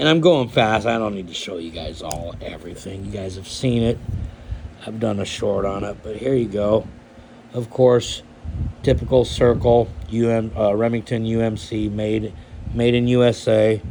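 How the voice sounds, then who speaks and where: At a moderate pace and medium pitch, a man speaks with ordinary pitch variation and big swings in loudness. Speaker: knife collector YouTuber. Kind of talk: casual show-and-tell vlog. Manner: hesitant, many fillers.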